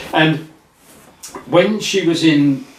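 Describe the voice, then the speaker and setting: Against noticeable background noise and audible room echo, a man speaks. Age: 70s. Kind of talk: casual chat.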